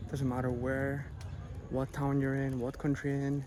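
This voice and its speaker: Soft-spoken and dark, mellow in tone, a man with a medium pitch talks at a fairly quick pace in a monotone, flat intonation, with audible room echo. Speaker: travel vlogger. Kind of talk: casual vlog narration. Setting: outdoors at a temple. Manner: quiet, soft-spoken.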